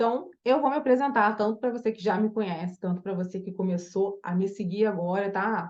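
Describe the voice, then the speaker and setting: A woman talks at a fairly quick pace, with a strong Carioca accent and hardly any pauses. Her pitch sits in the medium range and varies in an ordinary way. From Brazil, Rio de Janeiro. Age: 40s. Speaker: image and style consultant. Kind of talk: online masterclass. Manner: casual, hesitant with fillers.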